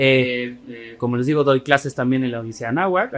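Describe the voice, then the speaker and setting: The words come at a very fast pace with music playing in the background. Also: man. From Chile. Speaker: history lecturer and podcast co-host. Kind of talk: casual podcast chat.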